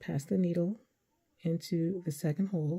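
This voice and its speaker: A woman speaks with a fairly low pitch and fairly even intonation, sounding somewhat breathy. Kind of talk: tutorial. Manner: careful, deliberate enunciation.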